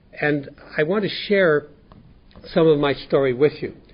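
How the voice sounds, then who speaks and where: A somewhat breathy man's voice, fairly high in pitch, with ordinary pitch variation and a Canadian accent. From central Canada (Winnipeg, Manitoba). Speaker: 12-step group speaker. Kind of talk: testimony. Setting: workshop with live audience. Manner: fast; halting, many repeated words.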